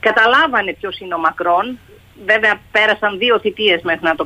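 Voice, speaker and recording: A woman with a fairly high pitch uses an ordinary speaking voice, moving at moderate speed. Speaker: journalist, foreign correspondent. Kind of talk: radio interview.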